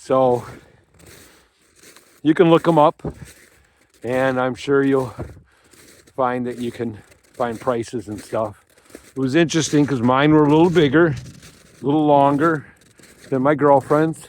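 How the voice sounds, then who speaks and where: This man, with an American accent, talks at a fairly slow pace with long, frequent pauses. His pitch is medium, with ordinary variation. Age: 60s. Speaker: outdoor vlogger. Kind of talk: casual vlog narration. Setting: outdoors.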